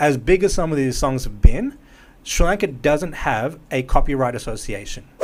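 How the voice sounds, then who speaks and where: Speaking at a moderate pace, a man with an Australian accent uses lively intonation. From Melbourne, Australia. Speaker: musician and music producer. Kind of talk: casual podcast interview.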